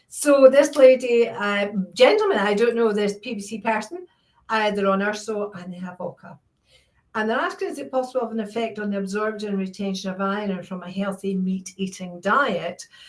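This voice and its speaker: A woman with a Scottish accent and a fairly high pitch talks at a moderate pace with ordinary pitch variation. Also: big swings in loudness. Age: 60s. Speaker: charity founder and Q&A host. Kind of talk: Q&A session reading viewer questions.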